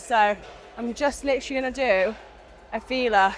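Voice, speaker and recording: With music in the background, a woman speaks in a high pitch with fairly even intonation. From UK. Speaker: fitness vlogger. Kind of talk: casual talk to camera.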